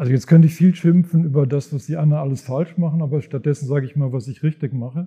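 A man with a fairly high voice races along at a very fast pace with hardly any pauses and fairly even intonation. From Germany, Sauerland. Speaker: finance professor. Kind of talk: live podcast conversation on stage. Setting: stage with audience in a reverberant monastery room. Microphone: heavy room echo.

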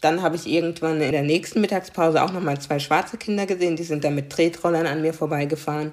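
Talking very fast with hardly any pauses, a woman keeps a fairly low pitch and a fairly even intonation. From Germany, Karlsruhe (Baden). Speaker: diversity coach. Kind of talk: interview.

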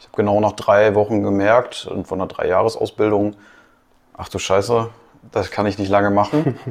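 A normal speaking voice from a man, fairly low in pitch, at a moderate pace, with fairly even intonation and big swings in loudness. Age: 20s. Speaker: business consultant. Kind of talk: casual chat.

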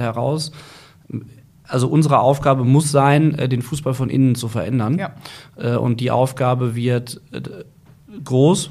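Speaking with fairly even intonation at a medium pitch, a man has a plain, everyday voice. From Germany, Ruhr area (Gelsenkirchen). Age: 40s. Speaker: football club director. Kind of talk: interview.

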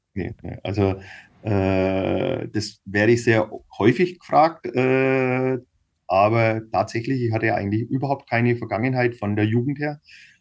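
A man speaks at a fairly slow pace in a normal speaking voice, with medium pitch and ordinary pitch variation. The background is quiet. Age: 50s. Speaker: cycling team manager and businessman. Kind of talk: casual interview.

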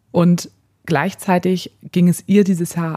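Dry and close with no echo, the voice is somewhat breathy with a dark, mellow tone. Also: woman. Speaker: podcast co-host. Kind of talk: casual chat.

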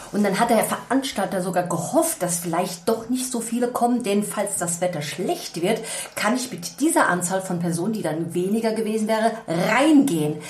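Lively intonation from a woman at a medium pitch and a moderate pace, with audible room echo and noticeable background noise. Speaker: podcast co-host, event organizer. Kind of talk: casual chat. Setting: informal setting over coffee, not a studio.

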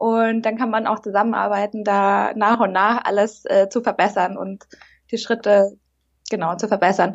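Monotone and flat, a woman talks at a moderate pace and a medium pitch. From Munich, Bavaria. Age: 30s. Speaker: aspiring café founder. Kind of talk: casual interview. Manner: hesitant, many fillers.

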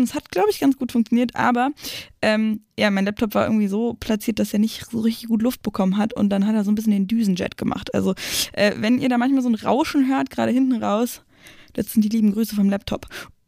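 A woman's fairly high, somewhat breathy voice with a dark, mellow tone, at a very fast pace, in a dry, close sound with no echo. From Brandenburg, near Berlin. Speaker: football podcast host. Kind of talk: news roundup; casual chat. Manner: animated.

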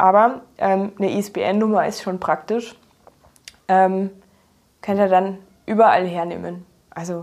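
A woman speaks with fairly even intonation. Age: 30s. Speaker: graphic designer and illustrator. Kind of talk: casual interview. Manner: hesitant, many filler sounds.

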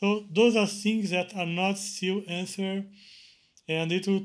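A man talks at a fairly slow pace with a Portuguese accent and ordinary pitch variation. The recording is very clean, with a silent background. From Brazil. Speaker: Linux kernel maintainer. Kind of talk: interview.

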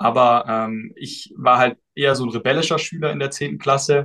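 Speaking at a moderate pace, a man uses a medium pitch and a bright, sharp tone. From southwestern Germany (Baden-Württemberg). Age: 20s. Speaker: student and study-tips influencer. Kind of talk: casual interview.

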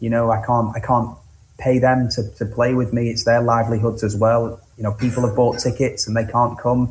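With a Lancashire accent, a man speaks at a medium pitch and moderate pace in a somewhat breathy, monotone, flat voice. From northwest England, Blackpool (Cleveleys). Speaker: singer-songwriter. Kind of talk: interview.

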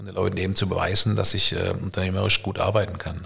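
At a very fast pace, a man speaks in a somewhat breathy voice with a fairly low pitch and monotone, flat intonation. The recording is very clean, with a silent background. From Germany, Karlsruhe (Baden). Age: 50s. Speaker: entrepreneur and networker. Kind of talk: casual chat. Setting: at home dining room, evening with wine.

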